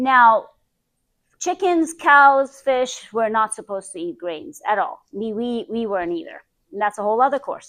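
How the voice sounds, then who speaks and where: A woman with a non-native accent speaks at a moderate pace, her high pitch swinging very widely. Her tone is animated, and her loudness varies a lot. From Iran. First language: not English. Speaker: health practitioner. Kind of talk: presentation. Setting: group presentation.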